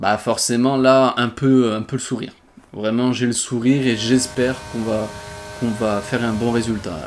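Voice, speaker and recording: Noticeable background noise sits behind a man at a medium pitch. He speaks at a moderate pace with monotone, flat intonation. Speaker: gaming youtuber. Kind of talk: gameplay commentary. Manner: halting, with fillers.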